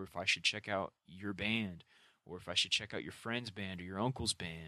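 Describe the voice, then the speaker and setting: A man's bright, sharp voice sounds dry and close with no echo on a very clean recording with a silent background. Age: 20s. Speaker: podcast host. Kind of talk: solo monologue. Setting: home room. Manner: casual, filler-heavy.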